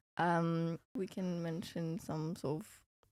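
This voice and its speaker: This woman's voice has a dark, mellow tone and sits fairly low in pitch. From Romania. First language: Romanian. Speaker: student podcast co-host. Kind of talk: casual chat. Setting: studio with camera.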